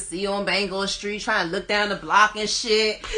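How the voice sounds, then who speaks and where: A woman's medium-pitched voice with an American accent, over noticeable background noise. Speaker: rapper. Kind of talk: interview. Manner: casual, uses lots of fillers.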